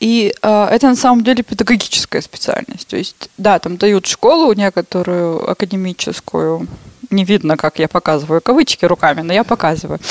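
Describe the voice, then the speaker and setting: The sound is dry and close with no echo, though there is noticeable background noise. A woman speaks at medium pitch and a moderate pace, with lively intonation. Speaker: artist and ceramicist. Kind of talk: casual chat.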